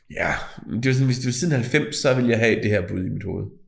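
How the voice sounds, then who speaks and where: With audible room echo, a man speaks at a moderate pace in a medium pitch. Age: 40s. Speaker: podcast co-host. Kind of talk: casual chat.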